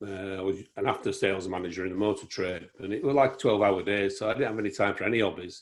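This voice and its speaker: Speaking at a fairly quick pace in a Yorkshire accent, a man with a fairly low pitch and ordinary pitch variation is heard on a very clean recording with a silent background. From Yorkshire, England (Harrogate). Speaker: photographer. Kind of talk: casual chat.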